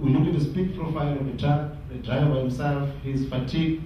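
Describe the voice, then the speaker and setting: A man speaks at a very fast pace in a fairly high pitch with fairly even intonation. Strong room echo and light background noise surround him. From South Africa. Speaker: transport company CEO presenting case study; presenter. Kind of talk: business presentation. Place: hall.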